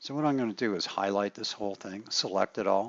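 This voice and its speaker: This is a man with a fairly low pitch and ordinary pitch variation. He has an unremarkable speaking voice. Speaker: software instructor. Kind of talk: tutorial. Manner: casual, with filler words.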